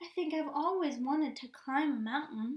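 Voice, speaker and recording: Using a put-on character voice, a woman speaks at a high pitch in a gentle tone. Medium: read story. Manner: wondering, gentle.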